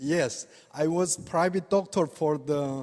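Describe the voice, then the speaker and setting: A man with a non-native accent, fairly high pitch, ordinary pitch variation and a fairly slow pace. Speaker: acupuncture doctor. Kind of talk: lecture. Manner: halting.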